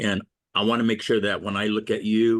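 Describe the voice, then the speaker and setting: A man is speaking. The background is quiet. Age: 60s. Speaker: public commenter, parent caregiver. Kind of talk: public comment at a government meeting. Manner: halting.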